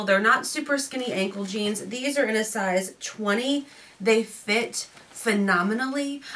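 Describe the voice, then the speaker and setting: A woman's voice, fairly high in pitch with ordinary pitch variation, over noticeable background noise. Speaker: fashion youtuber. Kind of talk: unboxing try-on video. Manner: casual, chatty.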